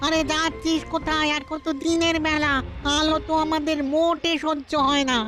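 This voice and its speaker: A cartoonish character voice comes through at a high pitch. Clear background noise sits behind it. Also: moderate pace. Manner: anxious, whiny.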